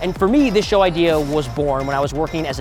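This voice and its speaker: Against music in the background, a man with a fairly high pitch speaks very fast with ordinary pitch variation. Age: 20s. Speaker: political show host. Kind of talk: video presentation.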